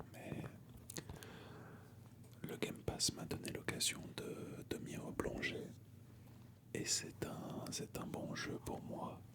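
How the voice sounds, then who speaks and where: Over noticeable background noise, a man whispers at a very slow pace. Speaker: ASMR creator. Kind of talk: ASMR video game collection show-and-tell. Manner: whispered.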